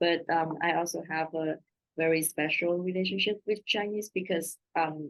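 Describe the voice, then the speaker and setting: A woman with a Vietnamese accent, fairly low-pitched and fairly slow, her intonation fairly even, in a dry, close sound with no echo. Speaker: translator. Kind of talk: panel Q&A answer. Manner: halting.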